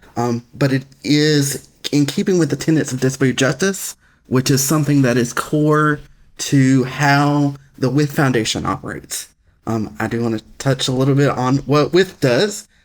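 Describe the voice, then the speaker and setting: In a very clean recording with a silent background, a man speaks with a Southern US accent. His fairly high voice moves at a moderate pace with ordinary pitch variation. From US South, Alabama. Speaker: foundation executive director. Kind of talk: interview. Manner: occasional pauses to get words out.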